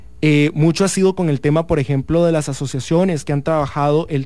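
A man with a plain, everyday voice speaks at a moderate pace. His pitch sits fairly high. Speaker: law student and youth activist. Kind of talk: interview.

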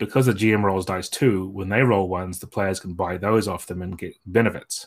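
Speaking with a New Zealand accent, a man keeps a moderate pace. His pitch is very deep and low. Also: very clean recording, silent background. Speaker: game designer. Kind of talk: interview.

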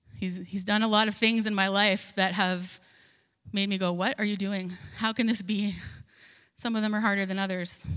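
A woman's monotone, flat delivery with long, frequent pauses and audible room echo. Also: medium pitch for a woman, moderate pace. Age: 40s. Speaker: pastor. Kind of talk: sermon.

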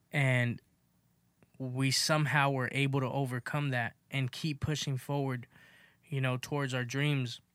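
A man with an American accent, flat monotone delivery, fairly slow pace, very even loudness and long, frequent pauses on a very clean recording with a silent background. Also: medium pitch for a man. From Los Angeles, South Central. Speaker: podcast host. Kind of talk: casual chat.

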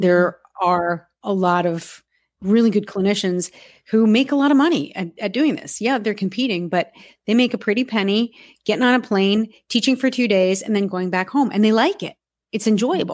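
A woman with a plain, everyday voice at a medium pitch and moderate pace, on a very clean recording with a silent background. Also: ordinary pitch variation. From US Northeast, near New York. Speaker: horse podcast host, panelist. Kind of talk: casual roundtable discussion.

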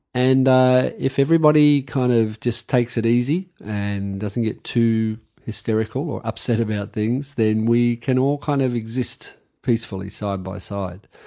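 With an Australian accent, a man speaks at a moderate pace in a dark, mellow tone of medium pitch, with ordinary pitch variation and a quiet background. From Australia, Campbelltown on the edge of Sydney. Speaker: novelist and army reservist. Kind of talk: interview conversation. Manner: hesitant, with frequent repetitions.

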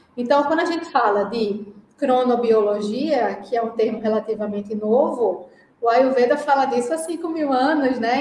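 In a strong Pernambuco accent, a woman speaks with ordinary pitch variation, and the room echo is audible. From Brazil, Pernambuco (Recife). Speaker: Ayurveda practitioner. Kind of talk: casual interview.

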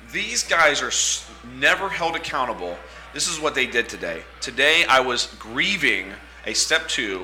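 With music in the background, a man speaks at a fairly high pitch that makes very wide swings. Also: fairly slow pace. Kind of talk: casual banter.

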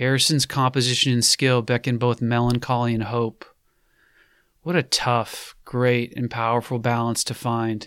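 A man talks in a monotone with flat intonation. The recording is very clean, with a silent background. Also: medium pitch for a man. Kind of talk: poem reading. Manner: slow, contemplative, reflective; measured, earnest, with pauses between lines.

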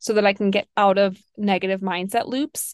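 A plain, everyday voice talks at a moderate pace with fairly even intonation. The background is quiet. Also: woman. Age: 30s. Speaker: functional health coach and podcast host. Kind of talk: casual solo podcast monologue.

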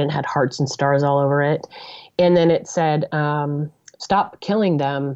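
A woman's normal speaking voice with a General American accent, fairly slow and fairly even in intonation. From US, Denver, Colorado. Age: 40s. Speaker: professor and author. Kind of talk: interview.

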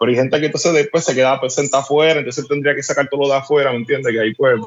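The speaker here is a man. He holds a fairly even intonation. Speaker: craft beer blogger and homebrewer. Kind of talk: casual chat.

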